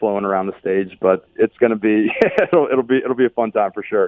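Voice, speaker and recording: A man with an American accent speaks at a medium pitch with ordinary pitch variation. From Pittsburgh, Pennsylvania. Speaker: country singer. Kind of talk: radio interview. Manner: halting.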